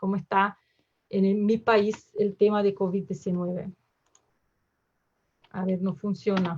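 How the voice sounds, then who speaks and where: Fairly slow in pace, a woman speaks at a medium pitch with fairly even intonation. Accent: Portuguese. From southern Brazil, Porto Alegre. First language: Portuguese (speaking Spanish). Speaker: emergency physician. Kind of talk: lecture. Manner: halting, many fillers.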